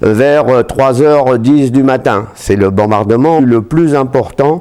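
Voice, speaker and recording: In a dark, mellow tone, a man talks at a very slow pace with ordinary pitch variation. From France, Seine-et-Marne (east of Paris). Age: 80s+. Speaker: war veterans association president. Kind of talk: testimony. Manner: hesitant, frequent fillers.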